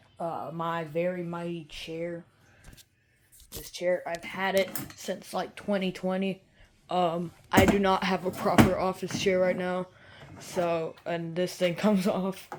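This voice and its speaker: Over noticeable background noise, a woman talks slowly at a medium pitch in a flat monotone, with big swings in loudness. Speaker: YouTuber. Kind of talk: casual vlog room tour. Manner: casual, hesitant with fillers.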